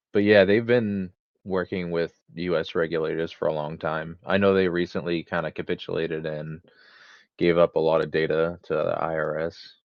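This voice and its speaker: A man speaks at a moderate pace with a very deep, low pitch. His intonation stays fairly even. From United States. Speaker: crypto investor guest. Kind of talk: casual chat. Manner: hesitant.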